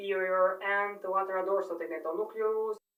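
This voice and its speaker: A woman's voice of medium pitch with a non-native accent. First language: not English. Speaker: medical student. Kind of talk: unscripted study monologue. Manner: halting, many fillers and self-corrections.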